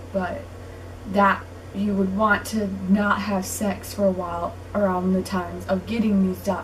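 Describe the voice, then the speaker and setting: Room echo is audible in this recording. A woman speaks at a fairly slow pace. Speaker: vlogger. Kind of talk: casual vlog talk.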